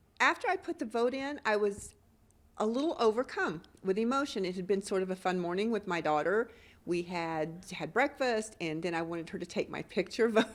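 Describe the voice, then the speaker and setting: Lively intonation lifts a woman's unremarkable speaking voice, set at medium pitch and a fairly quick pace. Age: 60s. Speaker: voter interviewed in news report. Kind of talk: news interview.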